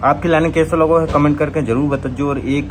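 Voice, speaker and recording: A man speaks in a Bundeli accent at a fairly high pitch. Noticeable background noise sits under his voice. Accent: Bundeli-accented Hindi. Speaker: comedy channel creator. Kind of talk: channel outro and promotion.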